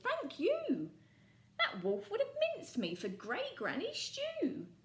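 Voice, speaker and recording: A female-sounding put-on character voice pitched extremely high for a woman, speaking at a fairly slow pace. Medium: read story.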